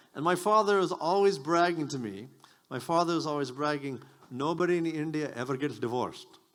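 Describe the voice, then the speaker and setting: Fairly high in pitch, a man speaks at a fairly quick pace. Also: ordinary pitch variation. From US (Maryland). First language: Japanese. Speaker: stand-up comedian. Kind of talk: stand-up.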